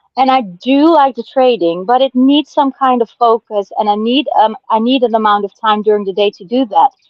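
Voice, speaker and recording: At a moderate pace with hardly any pauses, a woman with a non-native accent speaks at a fairly high pitch with lively intonation. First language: not English. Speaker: crypto community member. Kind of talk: casual chat. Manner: halting.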